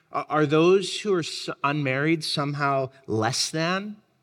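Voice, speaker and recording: Using a plain, everyday voice, a man talks at a fairly high pitch with ordinary pitch variation. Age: 20s. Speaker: pastor. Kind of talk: sermon.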